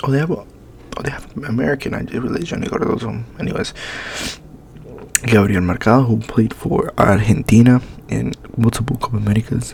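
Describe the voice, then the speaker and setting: Over noticeable background noise, a man at medium pitch speaks at a fairly quick pace with ordinary pitch variation and long, frequent pauses. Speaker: ASMR creator. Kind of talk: ASMR rant about soccer.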